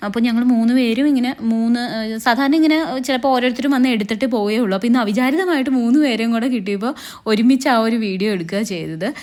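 A woman speaks with ordinary pitch variation. Her voice is high in pitch. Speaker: dubbing artist. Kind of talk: casual talk to camera. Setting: studio.

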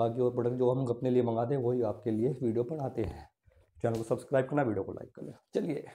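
A man speaks at a moderate pace with a dark, mellow tone. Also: ordinary pitch variation. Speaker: product reviewer. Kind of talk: product review tutorial. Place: home room. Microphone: lapel.

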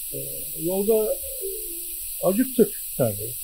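A man talks at a very slow pace. Light background noise can be heard. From Denizli, Turkey; Turkey. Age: 80s+. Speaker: war veteran. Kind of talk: interview; interview answer. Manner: halting. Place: home room. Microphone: handheld.

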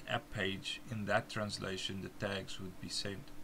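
This man speaks with a South African accent. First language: Afrikaans. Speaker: software developer giving a tutorial. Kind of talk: tutorial screen demonstration. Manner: halting, with fillers.

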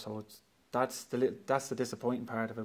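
A man talks at a fast pace, his pitch fairly low and his tone slightly mellow.

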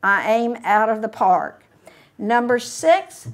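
A woman's high voice with ordinary pitch variation over a quiet background. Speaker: speaker. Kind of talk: prepared talk read aloud. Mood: warm, spirited.

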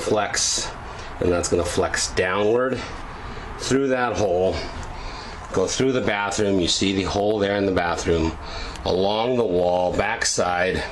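The voice moves at a fairly slow pace with long, frequent pauses, very even loudness and ordinary pitch variation over light background noise. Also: man, fairly low pitch for a man. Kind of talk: casual tutorial walkthrough. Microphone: phone near.

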